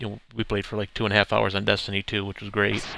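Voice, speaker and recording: Soft-spoken with vocal fry and a bright, sharp tone, this voice keeps a flat monotone on a very clean recording with a silent background. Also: man. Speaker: video game streamer. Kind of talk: live gameplay commentary. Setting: live stream. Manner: hesitant, many fillers.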